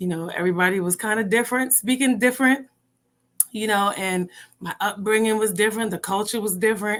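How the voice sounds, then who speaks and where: A woman speaks with an American accent at a fairly quick pace and a fairly high pitch. Her intonation is fairly even in a very clean recording with a silent background. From Jamaica. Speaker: entrepreneur and mother. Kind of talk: podcast interview.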